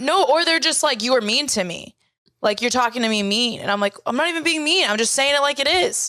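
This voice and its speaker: A woman speaks at a fairly quick pace in a raised, projected voice. Her pitch is high and her intonation lively. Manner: forceful, aggressive.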